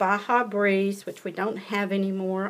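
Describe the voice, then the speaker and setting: Woman with a Southern US accent, medium pitch and fairly slow pace. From US South. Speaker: paper craft demonstrator. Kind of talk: tutorial. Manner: casual, chatty.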